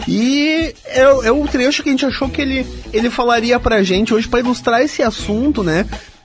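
There is noticeable background noise. Over it, a man talks at an extremely high pitch. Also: ordinary pitch variation, fairly quick pace. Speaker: radio host. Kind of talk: casual radio presenting.

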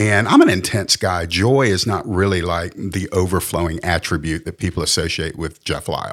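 Fairly quick speech from a man in a Southern US accent. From US South. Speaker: pastor and author. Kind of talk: testimony. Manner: intense.

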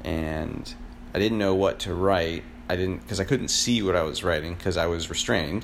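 Audible room echo surrounds a man with an American accent and a very deep, low pitch. He keeps a moderate pace and ordinary pitch variation. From Florida. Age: 30s. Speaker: podcaster. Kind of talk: solo personal monologue. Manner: halting, many fillers.

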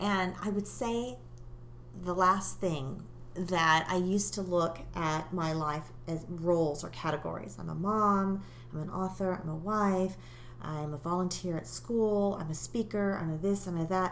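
In an American accent, a woman with a fairly low pitch speaks at a fairly slow pace with ordinary pitch variation, and audible room echo surrounds her. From England, later US. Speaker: life coach and author. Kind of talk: interview.

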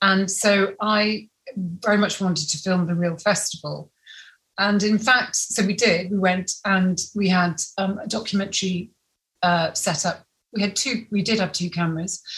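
Speaking at a moderate pace and a medium pitch, a woman keeps her intonation fairly even in a normal speaking voice. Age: 50s. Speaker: film director. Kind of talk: interview.

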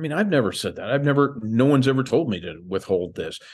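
With a quiet background, a man with an American accent speaks at a fairly quick pace in a normal speaking voice with ordinary pitch variation. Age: 60s. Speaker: UFO disclosure advocate. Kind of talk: casual interview chat.

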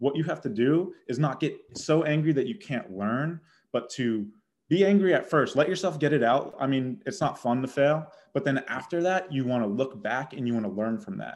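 A man at a moderate pace in an ordinary speaking voice. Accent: American. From Boston, Massachusetts. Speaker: college baseball outfielder. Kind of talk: interview.

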